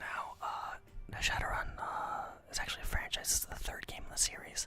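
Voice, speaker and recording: Someone whispers over noticeable background noise. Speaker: ASMR gaming commentator. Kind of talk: casual gameplay commentary. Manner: soft-spoken, whispered.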